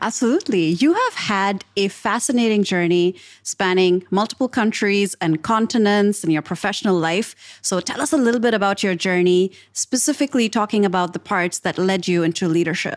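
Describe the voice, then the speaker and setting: In a normal speaking voice, a woman of medium pitch talks at a fairly quick pace with hardly any pauses, very even loudness and ordinary pitch variation, on a very clean recording with a silent background and a dry, close sound with no echo. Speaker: podcast host and leadership communications coach. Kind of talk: podcast interview.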